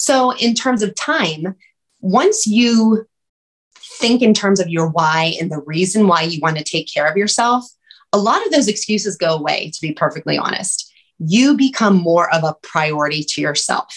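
A woman with a somewhat breathy, medium-pitched voice speaks at a moderate pace with lively intonation. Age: 40s. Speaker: weight loss coach and sports nutritionist. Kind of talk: casual chat.

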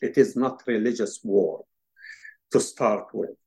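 With an Arabic accent, a man speaks in a lively intonation. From Palestinian refugee camp in Lebanon. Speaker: Palestinian activist. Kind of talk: interview. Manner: halting, many fillers.

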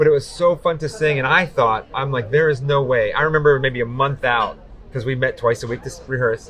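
This is an unremarkable speaking voice, with pitch that moves in an ordinary way. It goes at a fairly quick pace. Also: man, fairly high pitch for a man. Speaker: podcast host. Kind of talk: casual interview.

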